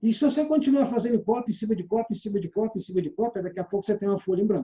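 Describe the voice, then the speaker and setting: A man's high voice, dark and mellow, at a very fast pace. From Minas Gerais, Brazil (Belo Horizonte). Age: 60s. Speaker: sales trainer. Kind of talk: lecture.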